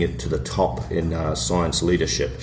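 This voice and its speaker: A man with a New Zealand accent speaks at a moderate pace. Music plays in the background, and room echo is audible. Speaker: podcast co-host. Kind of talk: podcast discussion.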